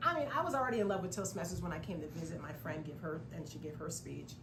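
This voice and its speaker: A woman's fairly low voice at a very fast pace, with audible room echo and noticeable background noise. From California. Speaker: public speaking club member. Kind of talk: conversational interview.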